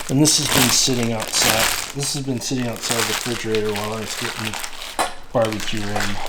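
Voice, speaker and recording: Over noticeable background noise and audible room echo, a man talks very fast at medium pitch with fairly even intonation. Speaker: channel host, home barbecue cook. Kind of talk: tutorial. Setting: at home, early morning by the smoker. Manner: whispering.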